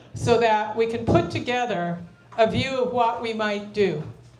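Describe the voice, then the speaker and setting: Noticeable background noise and audible room echo around a woman's fairly high-pitched voice. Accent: American. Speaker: activist group organizer. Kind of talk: town hall opening remarks. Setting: public meeting with audience. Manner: animated.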